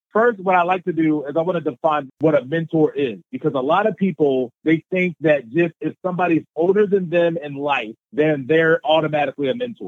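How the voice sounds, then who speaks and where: A man talks at a fairly quick pace in an unremarkable speaking voice, pitched fairly high. His pitch variation is ordinary, and there are hardly any pauses. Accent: American. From US, Baltimore, Maryland. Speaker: motivational speaker. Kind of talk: interview.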